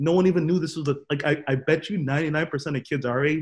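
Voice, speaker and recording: Somewhat breathy, a man with an American accent speaks at a fairly high pitch with ordinary variation. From Boston, US. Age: 20s. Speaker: podcast co-host. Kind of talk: casual chat. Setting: video call.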